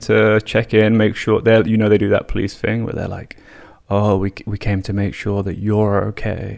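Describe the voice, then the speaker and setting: A man speaks with an English accent. His voice sits at medium pitch. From England. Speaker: podcast host. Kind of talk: casual storytelling. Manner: animated.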